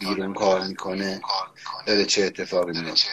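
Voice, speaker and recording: The words come at a fairly quick pace. Behind them, noticeable background noise can be heard. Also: man. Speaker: podcast co-host. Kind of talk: tutorial. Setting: remote live call. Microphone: echo on his voice.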